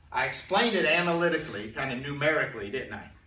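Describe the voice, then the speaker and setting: A man talks at a fairly quick pace, and the room echo is audible. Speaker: math teacher. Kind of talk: lecture. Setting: classroom with students. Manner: fast; casual, conversational.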